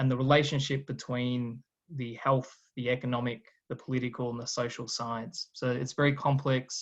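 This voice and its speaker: The man speaks at a moderate pace and a medium pitch. His intonation is monotone and flat. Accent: Australian. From Australia. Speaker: guest lecturer, political scientist. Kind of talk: lecture.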